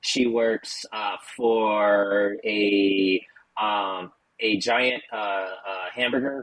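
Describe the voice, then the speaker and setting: A man's fairly low voice with an American accent. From United States. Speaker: podcast co-host. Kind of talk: casual chat.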